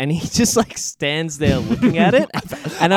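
The sound is dry and close with no echo. A man talks at a moderate pace with an Australian accent. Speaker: podcast co-host.

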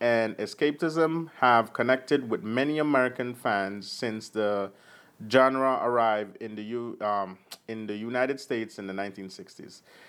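Someone with a Jamaican accent speaks at a fairly slow pace with ordinary pitch variation. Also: man. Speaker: podcast co-host. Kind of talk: casual chat with article reading.

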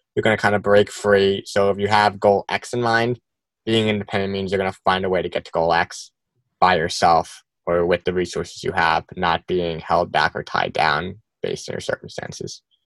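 With a plain, everyday voice, a man speaks at a moderate pace and fairly low pitch, his intonation fairly even, in a dry, close sound with no echo on a very clean recording with a silent background. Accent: American. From US Northeast, New Jersey. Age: 20s. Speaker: fashion designer and brand co-founder. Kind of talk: casual interview.

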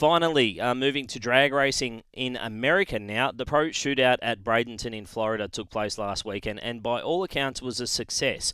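With an Australian accent, a man speaks at a moderate pace and medium pitch in a bright, sharp tone with ordinary pitch variation, on a very clean recording with a silent background. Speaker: podcast host and motorsport commentator. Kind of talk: news reading; casual chat.

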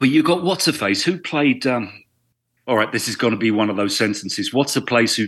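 Against a quiet background, a man with a normal speaking voice talks at a fairly quick pace and medium pitch with lively intonation. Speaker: actor. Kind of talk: casual chat.

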